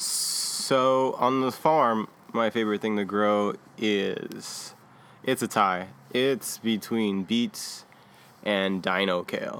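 Very slowly, a man speaks in a fairly low pitch with ordinary pitch variation. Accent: American. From California, Bay Area. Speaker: farmhand. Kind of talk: casual interview.

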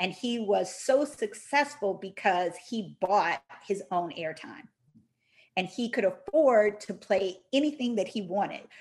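At a fairly slow pace, a woman with an American accent speaks in an animated tone at a medium pitch with lively intonation. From Detroit, US Midwest. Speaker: Prince scholar, presenter. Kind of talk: presentation.

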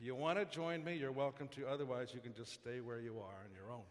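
With a Canadian accent, a man talks using lively intonation, and audible room echo surrounds his voice. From Canada, Saskatchewan (Saskatoon). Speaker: pastor. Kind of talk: sermon.

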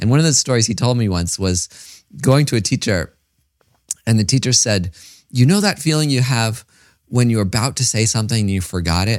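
On a very clean recording with a silent background, a man with an American accent speaks at a medium pitch and a fairly quick pace. His intonation is lively, with long, frequent pauses. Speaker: podcast host, meditation teacher. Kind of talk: casual interview.

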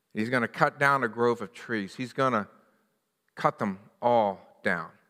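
Someone with an American accent speaks at a fairly slow pace in a bright, sharp tone with ordinary pitch variation. The recording is very clean, with a silent background. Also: man. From US, western Pennsylvania (Johnstown). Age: 60s. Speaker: pastor. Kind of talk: sermon.

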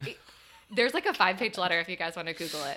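A woman speaks with a General American accent at a fairly low pitch. Her tone is bright and sharp. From US Midwest (Ohio). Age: 20s. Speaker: former beauty pageant contestant. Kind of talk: casual chat. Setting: studio.

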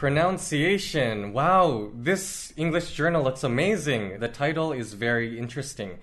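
There is audible room echo around a man with a Canadian accent and a fairly high pitch. He speaks at a fairly slow pace with hardly any pauses. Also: lively intonation. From western Canada. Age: 20s. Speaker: English teacher. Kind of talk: casual chat.

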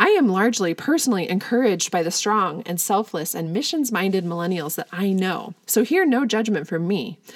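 Using a normal speaking voice, a woman of medium pitch talks fairly quickly with lively intonation and hardly any pauses. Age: 40s. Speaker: podcast host. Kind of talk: solo commentary podcast, scripted. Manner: measured, scripted delivery.

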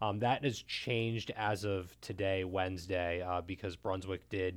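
A man with an unremarkable speaking voice talks at a moderate pace and a fairly low pitch on a very clean recording with a silent background. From Maryland, Montgomery County. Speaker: sports writer. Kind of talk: casual discussion.

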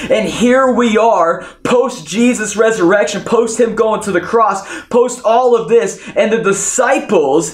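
A man talks at a high pitch in an energetic tone, with ordinary pitch variation and very even loudness. Noticeable background noise runs under his voice. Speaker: pastor. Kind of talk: sermon, preacher in full flow, urging the congregation to cheer. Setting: online church service, audience at home. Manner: animated, call-and-response, exhorting the audience; loud, energetic, fervent and punchy.

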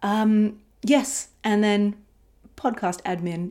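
A woman with a dark, mellow tone speaks at a medium pitch with ordinary pitch variation on a very clean recording with a silent background. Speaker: podcast host, embodiment and rest teacher. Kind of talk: solo podcast monologue. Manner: intentionally slowed speech.

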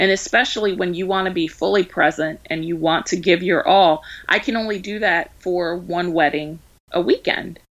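In a very clean recording with a silent background, a woman with an American accent talks at a moderate pace with fairly even intonation in an ordinary speaking voice. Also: fairly low pitch for a woman. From Baltimore, Maryland. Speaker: wedding planner. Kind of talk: interview.

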